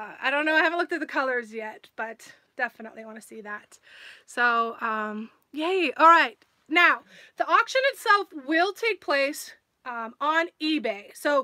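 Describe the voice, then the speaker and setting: In a quiet background, a woman projects a raised voice with a bright, sharp tone, very wide pitch swings and a moderate pace. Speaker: live stream host. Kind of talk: casual live stream chat. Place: home room. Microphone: phone near.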